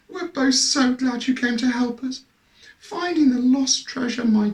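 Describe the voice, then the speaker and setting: Putting on a character voice, a man speaks at an extremely high pitch and a moderate pace, croaky and husky. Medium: read story. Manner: genteel, emotional.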